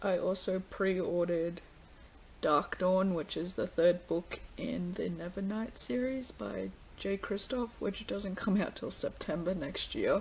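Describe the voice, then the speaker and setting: A woman mumbling at a fairly slow pace with an Australian accent and ordinary pitch variation. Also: medium pitch for a woman. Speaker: book vlogger. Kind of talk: casual vlog.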